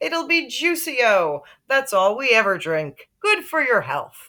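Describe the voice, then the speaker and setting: A put-on character voice moves fairly slowly through very wide pitch swings in a very clean recording with a silent background. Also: woman, high pitch for a woman. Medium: read story. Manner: loud, hearty.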